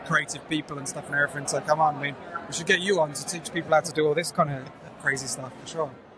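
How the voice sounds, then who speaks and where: With noticeable background noise behind him, a man speaks at a fairly high pitch in a monotone, flat intonation, his loudness swinging widely. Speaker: security awareness professional. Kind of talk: casual interview chat. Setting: live at a conference. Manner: hesitant, many fillers.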